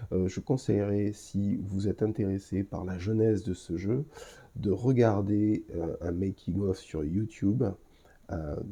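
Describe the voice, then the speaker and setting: A man speaks at a very slow pace with a fairly low pitch. His tone is dark and mellow, with ordinary pitch variation. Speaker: podcast host. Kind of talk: solo podcast review. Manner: hesitant, many filler sounds.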